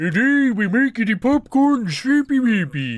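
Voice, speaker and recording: In a put-on character voice, a man speaks at an extremely high pitch and a fairly slow pace. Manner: goofy.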